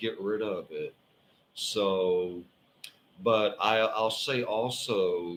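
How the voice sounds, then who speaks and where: Speaking at a very slow pace, a man with a medium pitch and ordinary pitch variation talks in a Southern US accent. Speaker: tarot reader. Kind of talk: live stream tarot reading. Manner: casual, halting with fillers.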